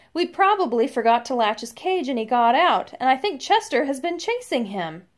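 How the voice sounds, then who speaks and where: A woman puts on a character voice, high in pitch with very wide pitch swings. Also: moderate pace. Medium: read story.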